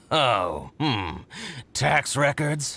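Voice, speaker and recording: His pitch stays medium. The man is doing a put-on character voice. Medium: video game. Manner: excitable, scheming.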